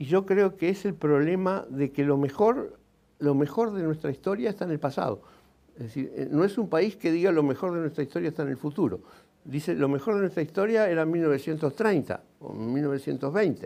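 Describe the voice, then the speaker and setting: A dark, mellow tone with lively intonation at a moderate pace. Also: man. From Uruguay, Montevideo; Uruguay. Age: 70s. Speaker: engineer and writer; interviewee. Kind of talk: TV interview. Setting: TV studio. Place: studio. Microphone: lapel.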